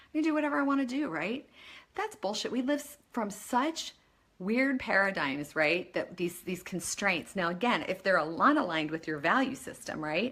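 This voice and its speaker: A woman's bright, sharp, animated voice at medium pitch, with very wide pitch swings and a moderate pace. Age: 50s. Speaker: life coach. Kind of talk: motivational talk. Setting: Facebook live video.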